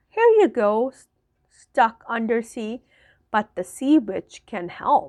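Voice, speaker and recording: A woman uses a put-on character voice with a fairly high pitch and a hissing sound, speaking at a fairly slow pace. The recording is very clean with a silent background. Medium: read story. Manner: hissing, coaxing.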